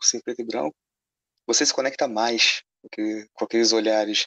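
The speaker has a Carioca accent. The pace is moderate. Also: man. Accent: carioca Brazilian Portuguese. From Rio de Janeiro (suburbs, north zone). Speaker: film critic and advertising illustrator. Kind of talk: casual chat.

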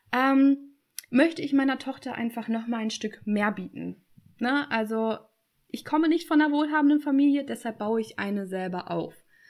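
Her voice is high-pitched, with ordinary pitch variation. The woman keeps a moderate pace. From Germany. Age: 20s. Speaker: online business coach. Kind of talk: interview.

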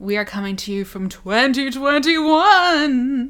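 Speaking very slowly, the speaker uses a put-on character voice. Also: woman, high pitch for a woman. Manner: eerie, spooky.

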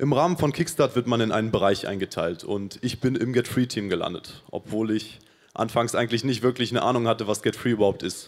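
A man talks in an unremarkable speaking voice at a medium pitch. His pace is fairly quick, with ordinary pitch variation. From Paraguay. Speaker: church volunteer. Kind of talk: testimony.

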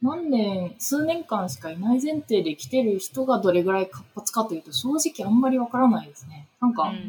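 This speaker keeps a moderate pace while the pitch swings very widely. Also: woman. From Tokyo, Japan. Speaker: urban planning consultant. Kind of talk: interview conversation. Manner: hesitant with many fillers.

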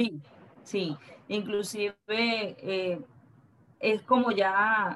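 A woman talks at a medium pitch in a Venezuelan accent. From Venezuela, Valencia. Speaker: purchasing manager. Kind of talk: interview.

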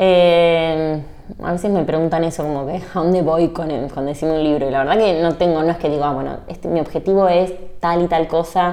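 With a Rioplatense accent, a woman speaks at a fairly quick pace in a fairly low pitch with monotone, flat intonation. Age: 30s. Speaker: lawyer and book influencer. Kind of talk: casual interview.

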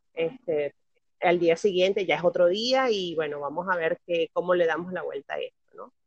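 Using an ordinary speaking voice, a woman talks at a fairly low pitch and a moderate pace, with ordinary pitch variation and big swings in loudness. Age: 30s. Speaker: podcast guest. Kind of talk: casual chat.

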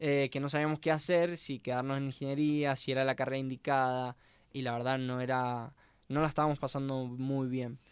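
A man speaks at a fairly quick pace in a monotone, flat delivery, recorded very cleanly against a silent background. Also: medium pitch for a man. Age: 20s. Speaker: university student, podcast co-host. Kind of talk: casual podcast chat. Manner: halting.

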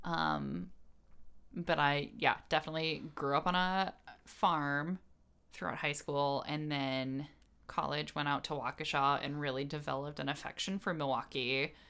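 A woman with an American accent, a bright, sharp tone, very deep, low pitch, ordinary pitch variation and moderate pace, in a very clean recording with a silent background. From Illinois Chicago suburbs and Wisconsin. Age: 30s. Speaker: podcast co-host. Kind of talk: casual chat.

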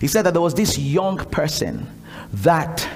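Over noticeable background noise, a man talks at a moderate pace in an animated tone. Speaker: preacher leading a prayer school. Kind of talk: fervent prayer and exhortation, leading the congregation in prayer. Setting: church gathering with a live congregation. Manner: loud, urgent, rhythmic repetition, call-and-response; animated, commanding, exhorting the room.

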